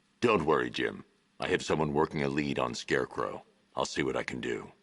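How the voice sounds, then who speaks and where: A man puts on a character voice with a very deep, low pitch. He talks at a fairly quick pace. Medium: video game. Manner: terse, low, controlled.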